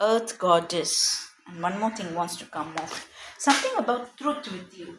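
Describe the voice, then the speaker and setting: At a fairly slow pace, a woman with an unremarkable speaking voice at medium pitch uses lively intonation and big swings in loudness. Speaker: tarot reader. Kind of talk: tarot reading.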